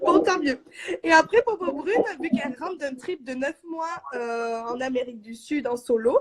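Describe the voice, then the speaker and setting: The pace is fairly slow. Loudness swings in big ways. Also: woman, high pitch for a woman, lively intonation. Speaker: blogger and live host. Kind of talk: live stream talk. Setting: online live stream. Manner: hesitant, many fillers.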